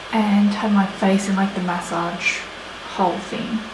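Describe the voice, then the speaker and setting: A soft-spoken woman in an Australian accent talks at a moderate pace with ordinary pitch variation, while audible room echo and noticeable background noise come through. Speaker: beauty vlogger. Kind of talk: chatty get-ready-with-me tutorial. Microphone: no proper microphone, audio may be quiet.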